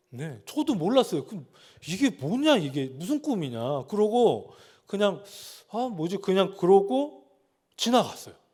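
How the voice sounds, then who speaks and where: In a very clean recording with a silent background, a man talks at a high pitch and a fairly slow pace, with big swings in loudness and very wide pitch swings. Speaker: pastor. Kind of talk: sermon.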